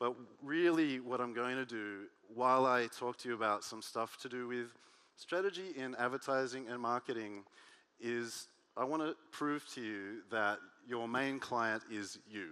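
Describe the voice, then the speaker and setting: In an Australian accent, a bright, sharp tone moves at a moderate pace with ordinary pitch variation. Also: man, medium pitch for a man. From Australia (Sydney). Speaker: workshop speaker, advertising strategist. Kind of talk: workshop talk. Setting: stage with audience. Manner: animated.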